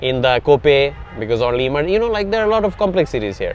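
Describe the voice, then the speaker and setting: This man speaks very fast in a Bengali accent. His pitch sits fairly high and swings very widely. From Bangladesh. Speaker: tech startup founder. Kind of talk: interview. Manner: hesitant, many fillers.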